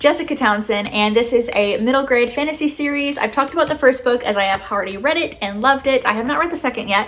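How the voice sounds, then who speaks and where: Very fast and high-pitched, a woman speaks with ordinary pitch variation. There is noticeable background noise. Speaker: booktuber. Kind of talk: casual vlog book haul. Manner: filler-heavy casual, frequent um.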